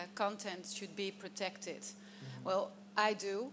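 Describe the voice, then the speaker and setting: A woman talks with a Dutch accent at a medium pitch. Her intonation is monotone and flat, and her pace is fairly slow. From Netherlands, Volendam. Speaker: politician, panelist. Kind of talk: panel discussion. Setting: stage with audience. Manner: halting.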